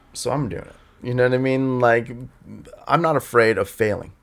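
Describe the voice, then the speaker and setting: This man talks at a moderate pace. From Southern California (Los Angeles area, then San Diego County). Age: 40s. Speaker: artist. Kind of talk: casual chat. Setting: studio.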